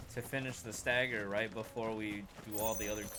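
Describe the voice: Plain reading aloud comes with fairly even intonation.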